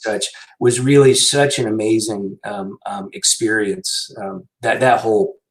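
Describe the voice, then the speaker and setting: This man speaks at a fairly slow pace. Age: 60s. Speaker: physician, medical center director. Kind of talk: interview. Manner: halting, many fillers.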